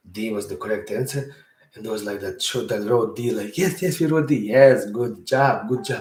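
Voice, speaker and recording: A somewhat breathy man's voice at medium pitch, with lively intonation and a Bosnian accent. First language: Serbo-Croatian. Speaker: podcast host. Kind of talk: storytelling monologue. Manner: conversational, rambling with filler words.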